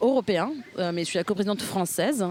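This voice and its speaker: A woman speaks with an Italian accent and lively intonation. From northern Italy, near Milan. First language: Italian (speaking French). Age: 30s. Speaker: political party co-president. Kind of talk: interview. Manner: hesitant, many fillers.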